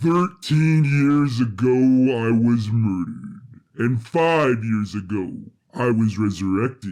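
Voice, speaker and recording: A man puts on a character voice at a medium pitch. He keeps to a fairly slow pace. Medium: audio drama. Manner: formal, precise, no contractions.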